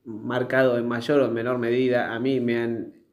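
There is audible room echo as a man speaks. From Argentina, Tigre (Buenos Aires). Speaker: podcast co-host. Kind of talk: casual chat.

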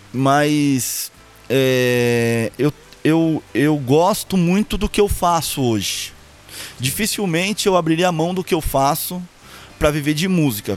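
A man talks with a fairly high pitch. Behind him, the background noise is noticeable. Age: 30s. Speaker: purchasing professional, grandson of a singer. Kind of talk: casual interview chat. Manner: halting, repeats words often.

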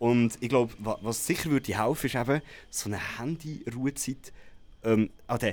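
Fairly quick pace, medium pitch and ordinary pitch variation from a man in a normal speaking voice. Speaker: radio morning show presenter. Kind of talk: casual chat.

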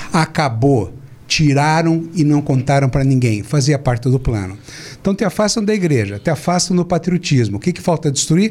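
This man's voice is somewhat breathy. He speaks at a moderate pace. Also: fairly high pitch for a man, lively intonation. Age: 60s. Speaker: physician and speaker. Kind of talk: political talk show discussion. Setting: studio, live stream.

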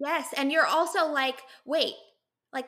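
A raised, projected voice with a bright, sharp tone at a moderate pace. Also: woman. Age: 20s. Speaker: podcast host. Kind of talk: podcast interview.

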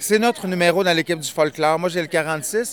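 Against noticeable background noise, a man talks in a high voice with ordinary pitch variation. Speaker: event organizer and MC. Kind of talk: casual interview. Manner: hesitant, filler-heavy.

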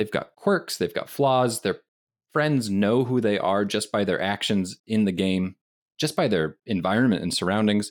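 At a moderate pace and fairly low pitch, a man speaks in an unremarkable speaking voice with ordinary pitch variation and very even loudness. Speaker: game master podcast co-host. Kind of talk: casual chat.

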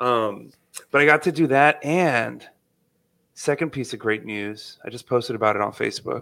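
A man talks at a fairly slow pace in an animated way, his tone bright and sharp. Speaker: podcast host. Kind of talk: casual chat. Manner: animated, joking.

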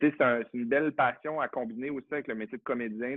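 A man speaks in a plain, everyday voice with fairly even intonation. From Quebec, Saguenay (Chicoutimi). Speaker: actor and drag queen. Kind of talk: casual chat.

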